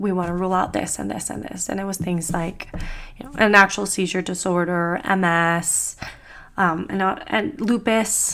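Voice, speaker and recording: A woman's bright, sharp tone at a moderate pace. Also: medium pitch for a woman, ordinary pitch variation. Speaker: lifestyle vlogger. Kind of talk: casual vlog monologue. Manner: chatty.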